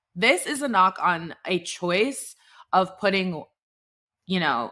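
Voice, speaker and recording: A loud woman with an American accent, bright, sharp and animated in tone, in a very clean recording with a silent background. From Texas (Dallas). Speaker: podcast host. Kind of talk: casual chat.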